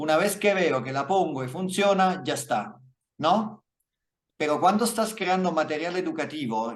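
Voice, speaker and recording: Lively intonation shapes a man's moderate-paced speech. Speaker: lighting visualization instructor and author. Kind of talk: Q&A after lecture. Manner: halting, with fillers and self-corrections.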